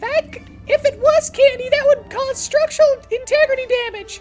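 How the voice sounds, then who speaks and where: Over clear background music, a squeaky put-on character voice talks at a moderate pace. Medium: actual play. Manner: bossy, emphatic.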